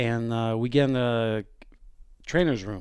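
The speaker is a man with a medium pitch and fairly even intonation. He talks at a moderate pace in a very clean recording with a silent background. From Quebec. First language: French. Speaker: hockey assistant coach. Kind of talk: casual chat.

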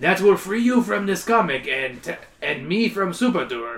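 A man puts on a strained, guttural character voice, pitched high and swinging very widely in pitch at a moderate pace.

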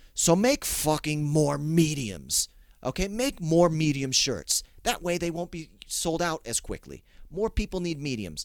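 This man has an unremarkable speaking voice, pitched fairly high. He talks at a fairly slow pace with lively intonation. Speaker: podcast host. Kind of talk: comedic rant. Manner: irreverent, profane, ranting.

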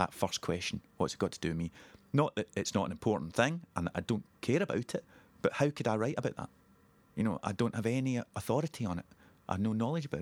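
Talking at a very fast pace in a Scottish accent, a man with a medium pitch makes very wide pitch swings, recorded with a dry, close sound and no echo. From Scotland, Ayrshire (Girvan). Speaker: playwright. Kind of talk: interview.

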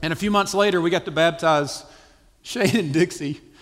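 In a Southern US accent, a man speaks with lively intonation and a bright, sharp tone. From US South, South Carolina. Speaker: missionary church planter. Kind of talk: testimony. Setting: church stage with audience.

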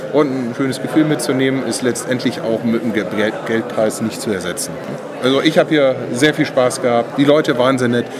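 Fairly quick male speech amid noticeable background noise and audible room echo. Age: 40s. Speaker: board game designer. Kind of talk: interview. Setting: game fair stage.

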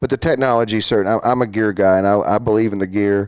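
A man speaks with a Texan accent at a fairly low pitch. He talks very fast. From Texas, Fort Worth. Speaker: amateur photographer and businessman. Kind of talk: casual interview. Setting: studio.

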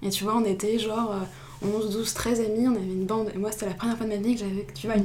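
Talking at a very fast pace, a woman with a medium pitch uses monotone, flat intonation amid noticeable background noise and audible room echo. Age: 20s. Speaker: student and novelist. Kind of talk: interview. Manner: hesitant, repeats words.

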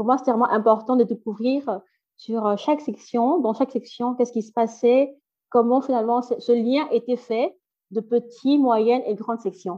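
A woman with a high pitch and a dark, mellow tone, at a moderate pace with big swings in loudness and fairly even intonation, against a quiet background. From Belgium, Brussels. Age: 30s. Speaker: NGO founder, childcare trainer. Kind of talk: interview.

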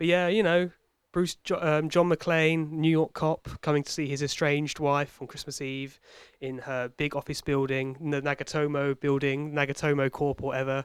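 The intonation is monotone and flat. The sound is dry and close, with no echo. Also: man, fairly high pitch for a man, moderate pace. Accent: British. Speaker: podcast host. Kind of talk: casual banter, comedy chat.

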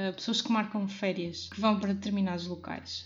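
This woman's intonation is monotone and flat. Her voice has a somewhat breathy quality. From Portugal, Porto. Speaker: podcast host. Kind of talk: solo podcast monologue.

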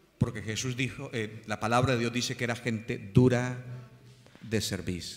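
A man speaks at a medium pitch and moderate pace with fairly even intonation, and audible room echo surrounds his voice. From Colombia. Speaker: pastor. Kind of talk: sermon.

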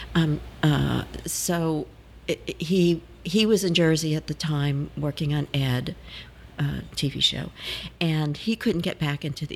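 A woman speaks in a very deep, low, somewhat breathy voice. Her pace is fairly slow, with long, frequent pauses. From New Orleans, Louisiana. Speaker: actress. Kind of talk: interview, casual chat.

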